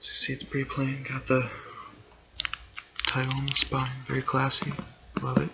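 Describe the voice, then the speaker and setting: Whispering at a moderate pace, a man speaks over noticeable background noise. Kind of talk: ASMR whispering and rambling. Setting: laptop microphone. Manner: whispered.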